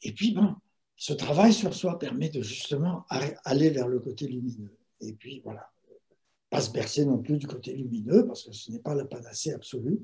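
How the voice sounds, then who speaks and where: A man's somewhat breathy voice with a dark, mellow tone and fairly high pitch, with very wide pitch swings and big swings in loudness at a moderate pace. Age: 70s. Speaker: meditation teacher and writer. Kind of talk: talk on meditation. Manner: hesitant, with fillers.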